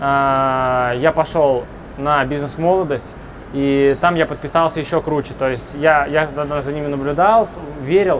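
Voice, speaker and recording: Noticeable background noise sits behind a man with a fairly high pitch and ordinary pitch variation. He speaks at a fairly slow pace with long, frequent pauses. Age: 20s. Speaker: business blogger. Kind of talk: interview.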